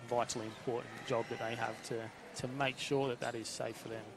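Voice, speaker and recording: With an Australian accent, a man speaks at a moderate pace in a monotone, flat way. Noticeable background noise runs underneath. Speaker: basketball commentator. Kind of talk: live commentary. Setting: basketball stadium.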